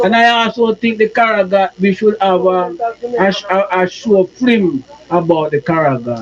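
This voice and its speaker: A man's high voice with lively intonation at a moderate pace, over noticeable background noise. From Jamaica. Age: 60s. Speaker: survivor of persecution. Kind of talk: testimony.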